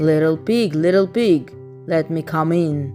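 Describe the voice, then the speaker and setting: A woman puts on a gruff character voice with a very deep, low pitch. She speaks at a fairly slow pace while clear music plays in the background. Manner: menacing, feigning politeness.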